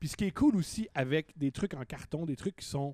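Speaking at a moderate pace, a man uses a fairly high pitch, an animated tone and ordinary pitch variation. The sound is dry and close with no echo, in a very clean recording with a silent background. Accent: Quebec. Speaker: comedian. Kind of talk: casual chat.

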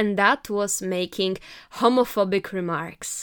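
In a very clean recording with a silent background, a woman with a non-native accent speaks at a moderate pace with a medium pitch and fairly even intonation. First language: not English. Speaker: podcaster. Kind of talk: opinion monologue. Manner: loud.

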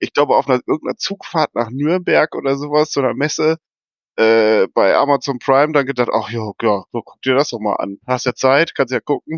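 A man speaks at a moderate pace with a medium pitch. He has an unremarkable speaking voice with ordinary pitch variation. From East Westphalia, Germany. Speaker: football fan. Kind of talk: casual chat.

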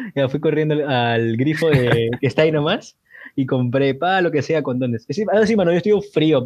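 At a moderate pace, a normal speaking voice talks with ordinary pitch variation over a quiet background. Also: man, fairly high pitch for a man. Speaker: student, podcast co-host. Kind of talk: casual chat.

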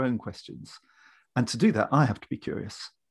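A plain, everyday voice moves at a moderate pace with lively intonation. The background is quiet, and the sound is dry and close with no echo. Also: man. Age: 60s. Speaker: leadership trainer and business founder. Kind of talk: casual interview chat.

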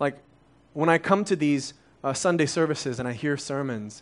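This man has an unremarkable speaking voice, pitched fairly high, with ordinary pitch variation. He speaks at a moderate pace against a quiet background. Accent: American. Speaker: church overseer preaching. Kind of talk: sermon. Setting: church with congregation. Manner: conversational, many fillers.

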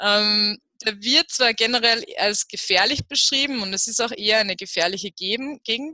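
The woman's bright, sharp tone sits at a medium pitch with ordinary pitch variation. She goes at a fairly slow pace, and the sound is dry and close with no echo. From Upper Austria. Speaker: travel blogger. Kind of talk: interview about travel tips.

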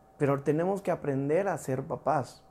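A man's voice with a dark, mellow tone and a fairly high pitch. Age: 40s. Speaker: pastor. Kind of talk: sermon. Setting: livestreamed church service.

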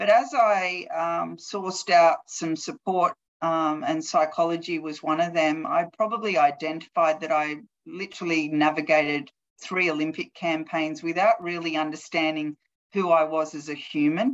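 A woman with an Australian accent, fairly low in pitch, at a moderate pace. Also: ordinary pitch variation. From Australia, Newcastle NSW. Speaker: athlete wellbeing manager, former Olympic hockey player. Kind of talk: interview.

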